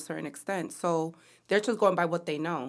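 In a plain, everyday voice, a woman talks at a fairly quick pace with ordinary pitch variation. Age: 30s. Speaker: podcast co-host. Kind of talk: casual chat.

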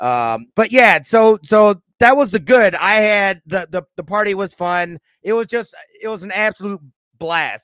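Loud and at a fairly slow pace, a man talks in a high pitch with ordinary pitch variation, the sound dry and close with no echo. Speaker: gaming podcast co-host. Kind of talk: casual chat.

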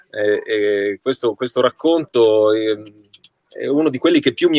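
This man's voice sits at medium pitch. The sound is dry and close, with no echo. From Certosa di Pavia, Lombardy, Italy. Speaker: stage actor. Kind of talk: video call panel chat. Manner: halting, repetitive.

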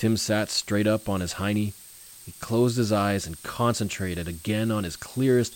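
It is delivered in a natural reading voice.

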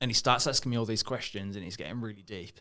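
A man's bright, sharp voice sits at a fairly low pitch with ordinary pitch variation. He talks at a fairly quick pace. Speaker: podcast host. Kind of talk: casual interview. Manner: casual, sweary.

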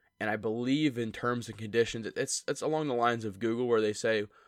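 A man's plain, everyday voice at medium pitch, with ordinary pitch variation, a fairly quick pace and a very clean recording over a silent background. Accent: American. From central Pennsylvania. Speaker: podcast co-host. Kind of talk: casual chat.

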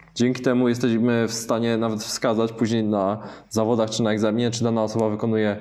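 Audible room echo surrounds a man talking at a very fast pace in a medium pitch. His tone is dark and mellow, and his intonation is monotone and flat. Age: 30s. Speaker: taekwondo and kickboxing instructor. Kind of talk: casual interview. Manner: halting, frequent self-corrections.

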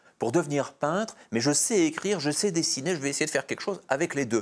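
The recording is very clean, with a silent background. A man with a fairly high pitch talks very fast, with ordinary pitch variation. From Belgium. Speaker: comics historian and author. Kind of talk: interview. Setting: studio. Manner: hesitant, frequent fillers and repetitions.

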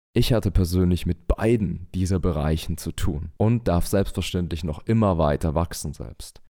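In a very clean recording with a silent background, a man with a very deep, low pitch and dark, mellow tone speaks at a moderate pace with hardly any pauses and ordinary pitch variation. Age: 30s. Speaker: men's coach and podcast host. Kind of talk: monologue podcast intro, coaching talk.

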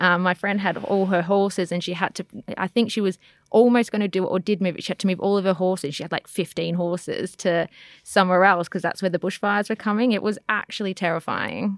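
With an Australian accent, a woman speaks at a fairly quick pace in a medium pitch and a monotone, flat intonation, the sound dry and close with no echo in a very clean recording against a silent background. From Australia, Melbourne eastern suburbs. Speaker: podcast guest. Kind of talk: casual chat.

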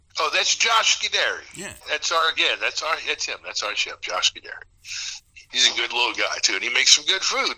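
A man talks at a moderate pace with hardly any pauses over noticeable background noise. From south Louisiana. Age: 50s. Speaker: bar and restaurant owner. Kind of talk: casual chat.

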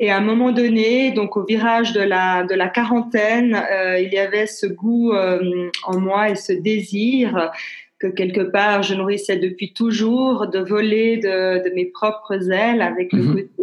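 Very slowly, a woman of medium pitch speaks with fairly even intonation. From Switzerland, Geneva. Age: 50s. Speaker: business consultant and coach. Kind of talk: interview. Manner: halting.

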